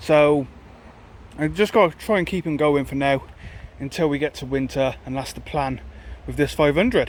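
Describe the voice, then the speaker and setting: The speaker moves at a moderate pace with ordinary pitch variation and long, frequent pauses. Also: man, fairly high pitch for a man. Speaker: car vlogger. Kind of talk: casual vlog talk. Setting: in a car.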